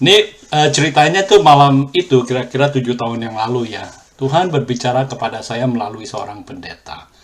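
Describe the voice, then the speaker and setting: At a fairly quick pace, a man of medium pitch talks with ordinary pitch variation and big swings in loudness. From Indonesia, then Australia. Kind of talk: testimony. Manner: hesitant, with filler sounds.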